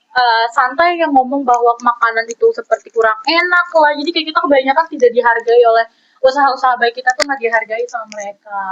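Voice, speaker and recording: A woman with a high pitch speaks very fast, with hardly any pauses and ordinary pitch variation. The sound is dry and close, with no echo. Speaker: law student. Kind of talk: casual discussion.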